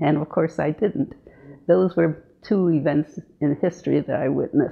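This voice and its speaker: Fairly slow and fairly even in intonation, a woman speaks at a fairly low pitch. Her voice has vocal fry. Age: 90s. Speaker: elderly woman telling her life memories. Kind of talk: personal storytelling memoir. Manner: halting, with fillers.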